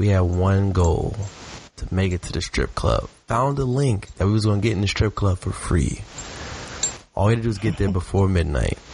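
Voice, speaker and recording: Over noticeable background noise, a man talks in a fairly low voice with ordinary pitch variation. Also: moderate pace. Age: 20s. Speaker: music and sports podcast co-host. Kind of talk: casual chat. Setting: online call recording.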